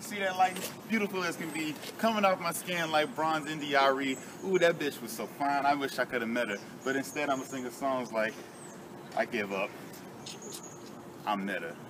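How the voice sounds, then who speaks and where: With lively intonation and long, frequent pauses, a man talks at a moderate pace over noticeable background noise. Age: young. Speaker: spoken word poet. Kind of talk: spoken word performance. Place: street. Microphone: camera far.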